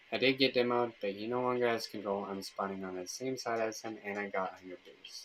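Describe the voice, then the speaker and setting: A man talks in a plain, everyday voice at medium pitch with fairly even intonation, hardly any pauses, and big swings in loudness. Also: fairly quick pace. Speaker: gaming streamer. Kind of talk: live gameplay commentary.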